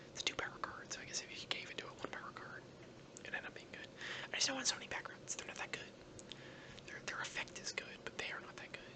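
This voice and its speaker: Very fast whispering broken by long, frequent pauses, amid noticeable background noise. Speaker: gaming YouTuber. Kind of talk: ASMR gameplay commentary. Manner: whispered; soft-spoken.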